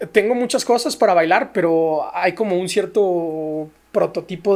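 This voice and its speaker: A man speaks in a high pitch with a Mexican accent. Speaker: ballet dancer and social entrepreneur. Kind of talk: casual interview chat.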